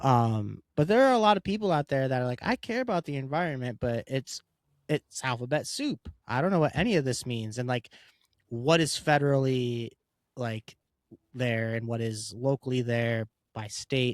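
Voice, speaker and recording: This man has an ordinary speaking voice with medium pitch and ordinary pitch variation. He speaks at a moderate pace in a dry, close sound with no echo. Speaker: podcast co-host. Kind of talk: casual podcast chat.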